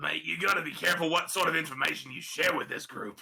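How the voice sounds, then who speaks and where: Raspy and very fast, a man puts on a character voice pitched high. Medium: actual play. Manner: dry, cautionary.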